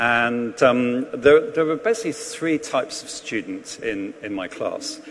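A man speaks with a southern English accent. There is noticeable background noise. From England. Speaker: priest. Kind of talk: sermon. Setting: church.

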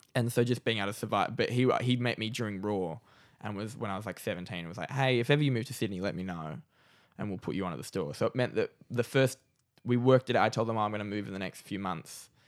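A man with an Australian accent at a very fast pace, fairly low pitch and ordinary pitch variation, in a very clean recording with a silent background. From Newcastle, Australia. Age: 20s. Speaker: comedian. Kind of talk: casual chat.

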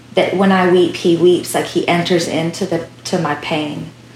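A woman with a fairly low pitch and fairly even intonation speaks at a fairly slow pace over noticeable background noise. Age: 30s. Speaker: worship songwriter and singer. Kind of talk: interview. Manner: halting.

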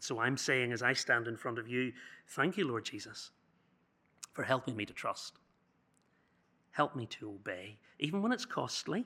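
At a moderate pace, a man with a medium pitch and a bright, sharp tone speaks with lively intonation and long, frequent pauses. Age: 40s. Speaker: youth speaker. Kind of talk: sermon.

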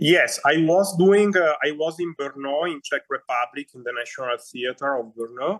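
The speaker has an Italian accent, ordinary pitch variation and a moderate pace, with hardly any pauses. The loudness swings widely, and the sound is dry and close with no echo. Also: man, fairly high pitch for a man. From Northern Italy. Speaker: opera singer. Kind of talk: interview conversation. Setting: video call. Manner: halting.

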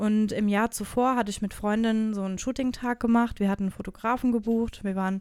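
A woman speaks in a plain, everyday voice. She goes at a fairly quick pace with fairly even intonation. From Germany, Hesse (Wiesbaden). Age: 30s. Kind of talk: casual interview chat.

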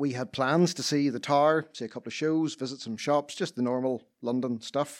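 With a plain, everyday voice, a man speaks fairly slowly at a fairly high pitch with ordinary pitch variation, on a very clean recording with a silent background. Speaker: storyteller. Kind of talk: live storytelling, personal anecdote.

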